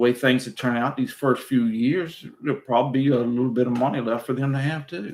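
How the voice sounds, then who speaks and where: With fairly even intonation, a man talks at a very fast pace. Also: medium pitch for a man, hardly any pauses. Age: 60s. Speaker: retired YouTuber hosting live chat. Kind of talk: casual livestream chat. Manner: halting, repeats words.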